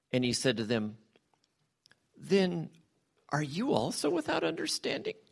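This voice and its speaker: A man's voice with vocal fry and very wide pitch swings, on a very clean recording with a silent background. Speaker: church member leading prayer and scripture reading. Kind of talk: prayer and scripture reading. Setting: church.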